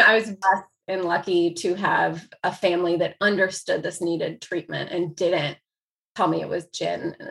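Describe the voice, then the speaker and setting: This voice has a bright, sharp tone and an American accent. It moves at a moderate pace. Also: woman. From US Midwest. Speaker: author. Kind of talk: casual interview.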